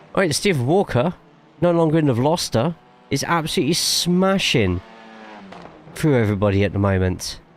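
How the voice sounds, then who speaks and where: A man's fairly high voice at a fairly quick pace, broken by long, frequent pauses, with very wide pitch swings, very even loudness and noticeable background noise. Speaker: sim racing streamer and commentator. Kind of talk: live stream chat with commentary. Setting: live stream. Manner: casual, chatty.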